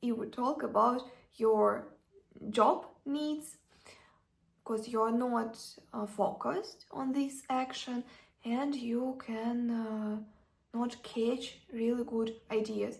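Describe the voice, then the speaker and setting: A woman's fairly high voice with a non-native accent, fairly even intonation, a very slow pace and long, frequent pauses. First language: not English. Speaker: self-development vlogger. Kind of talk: casual advice talk. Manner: halting, many fillers.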